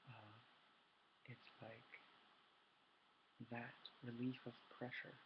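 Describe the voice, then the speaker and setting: A man's somewhat breathy voice. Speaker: ASMR youtuber. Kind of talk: casual ASMR intro talk. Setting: webcam recording at home at midnight. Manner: soft-spoken.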